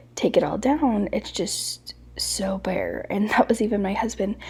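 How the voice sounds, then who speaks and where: A soft-spoken woman talks fairly slowly at a medium pitch with ordinary pitch variation. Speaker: home decor vlogger. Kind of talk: casual voiceover narration. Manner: soft-spoken, quieter to avoid waking baby.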